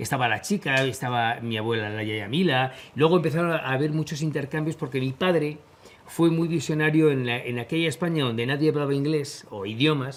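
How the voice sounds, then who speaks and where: A man talks at a fairly quick pace in a fairly high pitch. His pitch varies in an ordinary way, and there is noticeable background noise. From Spain. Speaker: war correspondent. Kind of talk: interview.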